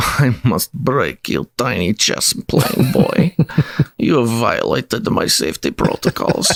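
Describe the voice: Putting on a character voice in a Russian accent, a man talks at a moderate pace and medium pitch.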